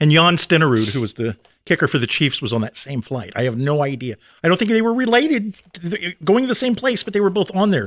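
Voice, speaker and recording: A man's high voice at a very fast pace, with very wide pitch swings over a quiet background. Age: 40s. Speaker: author and screenwriter. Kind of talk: casual chat. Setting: studio.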